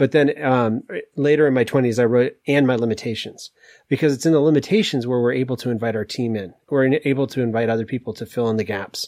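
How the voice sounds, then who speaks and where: A man with an American accent at a very fast pace and medium pitch, with ordinary pitch variation, dry and close with no echo over a quiet background. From US Northeast, Maine. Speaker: executive coach and author. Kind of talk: casual interview.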